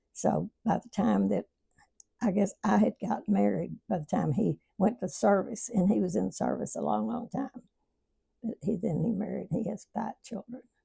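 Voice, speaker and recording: At a moderate pace, a woman with an Arkansas accent speaks in a dry, close recording with no echo. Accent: Southern US (Arkansas). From Arkansas, US South. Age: 90s. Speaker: elderly interviewee. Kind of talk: casual interview reminiscence. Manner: halting.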